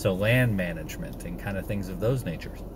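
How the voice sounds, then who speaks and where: Noticeable background noise sits behind a man who talks at a fairly quick pace. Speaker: homesteading vlogger. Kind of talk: casual vlog chat. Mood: reflective, personal. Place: car. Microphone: phone near.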